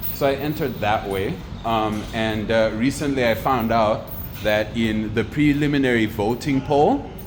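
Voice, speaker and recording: A man at medium pitch, moderate pace and ordinary pitch variation, with noticeable background noise and audible room echo. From Zimbabwe. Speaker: photographer and entrepreneur. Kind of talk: motivational monologue. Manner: talkative, casual with fillers.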